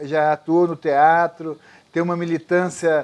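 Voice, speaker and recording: A man speaks fairly slowly in a high-pitched voice. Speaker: TV interviewer. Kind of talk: community TV interview host.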